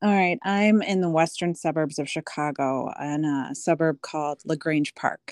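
In a US Midwestern accent, a woman with a very deep, low pitch talks at a moderate pace with hardly any pauses and ordinary pitch variation, in a dry, close sound with no echo. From Des Moines, Iowa (US Midwest). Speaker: high school alum. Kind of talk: casual chat. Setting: remote call.

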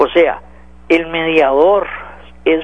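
Over noticeable background noise, a man speaks at a high pitch with fairly even intonation. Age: 40s. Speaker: radio host. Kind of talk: political talk radio commentary.

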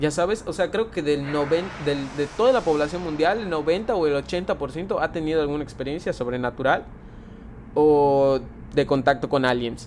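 A man speaks at a fairly slow pace in an unremarkable speaking voice. His pitch is fairly high for a man, with ordinary variation. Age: 20s. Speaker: tattoo artist. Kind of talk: casual chat.

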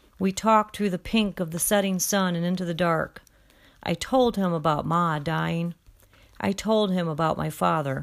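A woman with an unremarkable speaking voice talks at a fairly low pitch with ordinary pitch variation on a very clean recording with a silent background. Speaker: audiobook narrator and study-guide reader.

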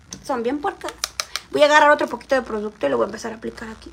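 Noticeable background noise behind a woman talking. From Mexico, Xalapa, Veracruz. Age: 20s. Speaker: livestreamer, makeup vlogger. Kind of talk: casual livestream chat. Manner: animated.

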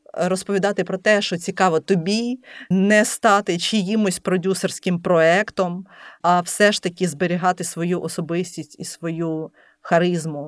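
This woman has a plain, everyday voice at medium pitch, talking at a fairly slow pace with fairly even intonation. The recording is very clean, with a silent background and a dry, close sound with no echo. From Lviv, western Ukraine. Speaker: entrepreneur and food blogger. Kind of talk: interview.

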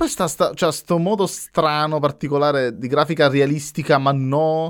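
Recorded very cleanly with a silent background, a man talks at a moderate pace. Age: 30s. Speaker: podcast host. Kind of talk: casual chat. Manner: halting.

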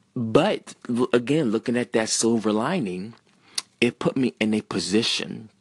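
A man with an ordinary speaking voice and an American accent talks at a fairly slow pace. His medium-pitched voice sounds dry and close with no echo. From US South, Central Virginia. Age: 30s. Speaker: podcaster. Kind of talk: personal monologue.

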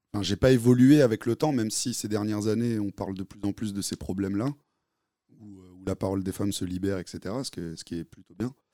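Recorded very cleanly against a silent background, with a dry, close sound and no echo, a man speaks at a fairly quick pace in a fairly low pitch, his tone dark and mellow, with ordinary pitch variation and big swings in loudness. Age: 30s. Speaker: audience member. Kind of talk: live podcast discussion.

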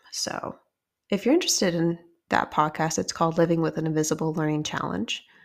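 A woman with a normal speaking voice, fairly low pitch, fairly even intonation and a fairly quick pace. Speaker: podcast host. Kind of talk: casual solo podcast storytelling.

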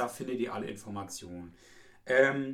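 A man's plain, everyday voice at a moderate pace with lively intonation. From East Frisia, northern Germany. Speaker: tourism office employee, podcast co-host. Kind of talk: casual chat.

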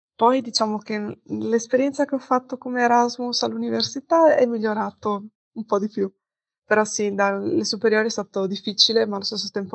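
A woman speaks at a moderate pace. Her pitch sits in the middle range. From Padua, Veneto, northern Italy. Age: 20s. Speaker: interviewee, student traveller. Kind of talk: interview. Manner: hesitant fillers.

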